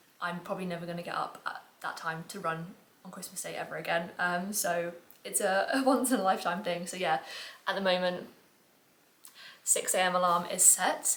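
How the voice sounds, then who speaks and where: A woman with an English accent at a fairly quick pace, fairly low pitch and fairly even intonation, amid audible room echo and noticeable background noise. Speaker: online fitness coach and vlogger. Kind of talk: casual vlog talk to camera. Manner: chatty with many fillers; quiet, soft-spoken.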